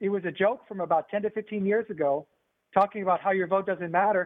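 With a US Midwestern accent, a man with a high pitch talks at a very fast pace. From northern Indiana, US. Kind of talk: panel discussion.

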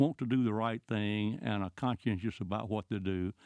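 Moderate pace, medium pitch and ordinary pitch variation in a man's voice. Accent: Southern US. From US South, rural Georgia. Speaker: former congressman. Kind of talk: interview.

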